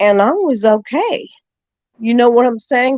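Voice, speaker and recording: With an American accent, a woman speaks using lively intonation. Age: 60s. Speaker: caller on open panel. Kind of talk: casual chat.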